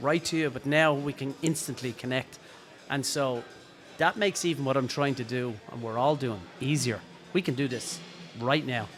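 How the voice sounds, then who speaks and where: Over background music, a man with an Irish accent talks at a moderate pace and fairly high pitch, with ordinary pitch variation and long, frequent pauses. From Ireland. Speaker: drummer and drum teacher. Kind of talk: casual interview. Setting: podcast recorded at a drum show.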